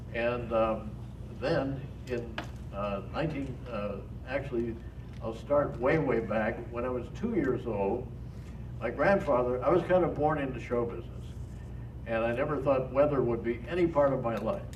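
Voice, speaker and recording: A man with an American accent speaks at a moderate pace, with long, frequent pauses. Audible room echo and noticeable background noise fill the recording. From Pittsburgh, Pennsylvania. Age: 80s+. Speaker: retired TV weatherman and speaker. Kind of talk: talk to an audience. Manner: halting, many fillers.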